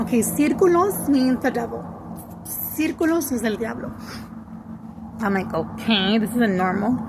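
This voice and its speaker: Her fairly high voice moves with lively intonation, broken by long, frequent pauses, while noticeable background noise and audible room echo fill the recording of this woman. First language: Spanish. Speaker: spiritual content creator. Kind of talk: casual monologue, story time. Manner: slow, halting; code-switching English and Spanish.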